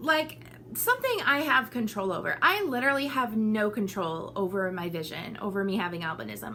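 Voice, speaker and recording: Over noticeable background noise, the speaker talks at a moderate pace with an animated tone, lively intonation and hardly any pauses. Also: woman. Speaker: vlogger. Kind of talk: casual chat.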